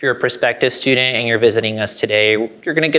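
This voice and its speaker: The voice is loud with a bright, sharp tone and ordinary pitch variation. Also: man. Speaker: university recruitment presenter. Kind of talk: presentation to prospective students. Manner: casual, upbeat.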